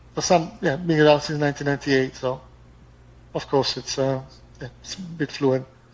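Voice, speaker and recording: Fairly quick speech with fairly even intonation is broken by long, frequent pauses, with noticeable background noise behind it. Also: man, fairly high pitch for a man. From Italy. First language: Italian. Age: 50s. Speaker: expat. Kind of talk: casual chat. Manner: fluent.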